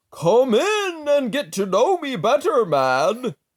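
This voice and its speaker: Using a put-on character voice at an extremely high pitch, a man speaks at a fairly slow pace. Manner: cheery, friendly, welcoming.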